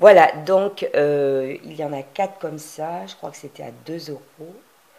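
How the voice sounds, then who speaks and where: This woman's pitch sits very deep and low, with ordinary variation, and her loudness swings widely. She talks at a fairly slow pace over noticeable background noise. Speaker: crafting youtuber. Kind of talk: tutorial. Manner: hesitant, many fillers.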